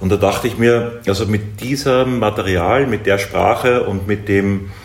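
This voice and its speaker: Against audible room echo and noticeable background noise, a man speaks at a fairly low pitch with fairly even intonation. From Upper Austria. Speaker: artist and filmmaker. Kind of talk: interview.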